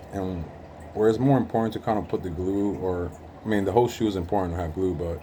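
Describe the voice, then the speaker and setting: With audible room echo, a man speaks in a very deep, low pitch with fairly even intonation. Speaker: hobbyist sneaker restorer. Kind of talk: tutorial. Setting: working at home. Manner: monotone; casual with frequent fillers.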